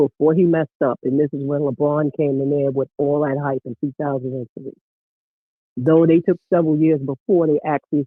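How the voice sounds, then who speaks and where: Using a normal speaking voice, a man with a fairly high pitch and fairly even intonation talks at a moderate pace. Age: 60s. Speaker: caller, former basketball coach. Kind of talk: casual chat. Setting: phone call.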